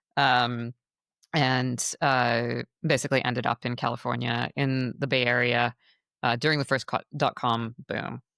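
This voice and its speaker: A woman's very deep, low voice, monotone and flat, at a fairly slow pace. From rural Queensland, Australia. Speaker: climate tech founder. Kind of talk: interview. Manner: frequent fillers, um and like.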